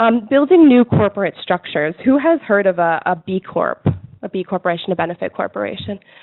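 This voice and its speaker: A woman with an American accent and a plain, everyday voice speaks at a fairly quick pace, medium pitch and with lively intonation. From United States. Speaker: conference speaker. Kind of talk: conference presentation.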